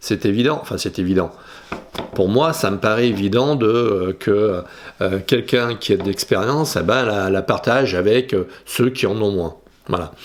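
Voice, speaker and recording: There is noticeable background noise as a man speaks at a fairly slow pace. His voice is fairly low-pitched, with ordinary pitch variation. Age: 60s. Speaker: photography youtuber. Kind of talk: casual vlog monologue. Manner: halting, many hesitations.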